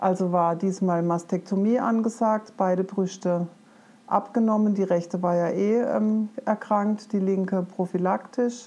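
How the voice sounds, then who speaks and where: A woman with a dark, mellow tone and medium pitch speaks at a fairly slow pace with fairly even intonation and very even loudness. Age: 50s. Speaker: forest educator and cancer patient. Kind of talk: personal testimony in an interview.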